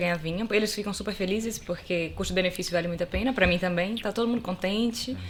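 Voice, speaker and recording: Words rush out at a very fast pace over noticeable background noise. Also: woman. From Brazil, Salvador da Bahia. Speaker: lawyer, wine enthusiast guest. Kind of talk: casual chat.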